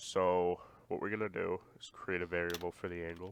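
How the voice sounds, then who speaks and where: The speaker keeps a moderate pace. The intonation stays monotone and flat. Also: man. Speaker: programming tutorial creator. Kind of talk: screen-recorded coding tutorial. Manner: casual, hesitant.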